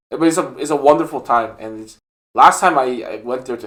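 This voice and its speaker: A man is speaking. He has a non-native accent. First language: not English. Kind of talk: casual chat. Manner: hesitant, many fillers.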